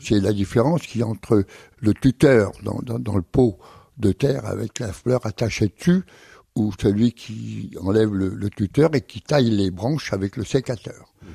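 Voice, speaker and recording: In a dry, close sound with no echo, a man talks at a fairly slow pace with a fairly low pitch, a dark, mellow tone, vocal fry and ordinary pitch variation. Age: 70s. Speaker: circus artist and horse trainer. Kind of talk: radio interview answer.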